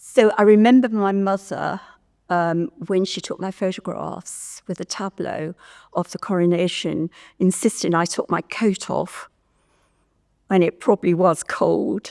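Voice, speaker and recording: With an English Midlands accent, a woman talks fairly slowly at a medium pitch and fairly even intonation, recorded very cleanly against a silent background. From Stratford-upon-Avon, England. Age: 70s. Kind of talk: oral history interview answer.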